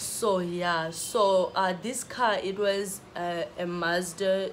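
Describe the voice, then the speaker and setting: A woman speaks very slowly with a fairly low pitch and monotone, flat intonation. Audible room echo fills the recording. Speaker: vlogger. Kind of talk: storytelling. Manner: halting.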